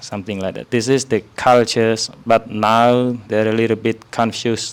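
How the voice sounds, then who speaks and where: Someone with a Khmer accent speaks at a moderate pace in monotone, flat intonation. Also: man, medium pitch for a man. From Cambodia. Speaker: Buddhist monk teaching visitors. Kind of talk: informal talk to visitors. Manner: hesitant, many fillers.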